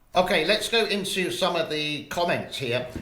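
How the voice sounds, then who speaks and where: A man talks at a fairly slow pace with a London accent. His tone is bright and sharp, with very wide pitch swings. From England, grew up in the UK. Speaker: YouTuber reading viewer comments.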